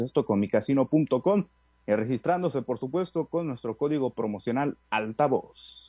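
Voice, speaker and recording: Over a quiet background, a man with a fairly high pitch and a dark, mellow tone speaks at a moderate pace with lively intonation and an upbeat tone, the sound dry and close with no echo. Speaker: sports news reporter. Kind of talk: sports news reading. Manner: brisk, upbeat, formal broadcaster cadence.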